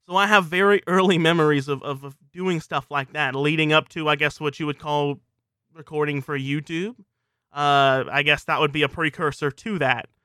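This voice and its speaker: Spoken at a moderate pace in a South Louisiana accent, the delivery keeps a fairly even intonation. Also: man, fairly high pitch for a man. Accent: South Louisiana Southern US. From US South, South Louisiana. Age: 20s. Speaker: podcast host, video game commentator. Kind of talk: solo personal monologue.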